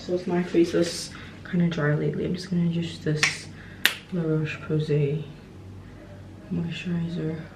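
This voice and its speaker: A woman's fairly low voice at a moderate pace, flat and monotone, with long, frequent pauses, audible room echo and noticeable background noise. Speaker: lifestyle vlogger. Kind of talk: casual vlog narration. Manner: casual, chatty.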